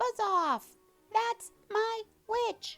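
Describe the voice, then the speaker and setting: With music in the background, someone performs a put-on character voice at an extremely high pitch. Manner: angry, shouting.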